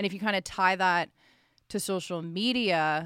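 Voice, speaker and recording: At moderate pace, a woman with a Canadian accent and an ordinary speaking voice talks at medium pitch with fairly even intonation, on a very clean recording with a silent background and a dry, close sound with no echo. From Ottawa, Ontario, Canada. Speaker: sports broadcaster, former university hockey player. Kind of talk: casual interview.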